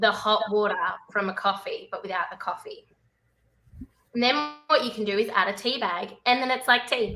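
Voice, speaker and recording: Music plays in the background as a woman with an Australian accent speaks at a moderate pace, with ordinary pitch variation and long, frequent pauses. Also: fairly high pitch for a woman. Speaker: cruise ship entertainer. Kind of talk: casual chat. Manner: animated.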